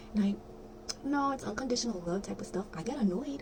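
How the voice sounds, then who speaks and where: Whispering at a very fast pace, a woman speaks. Noticeable background noise is present. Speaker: spiritual content creator. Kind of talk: casual vlog monologue. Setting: bedroom at night.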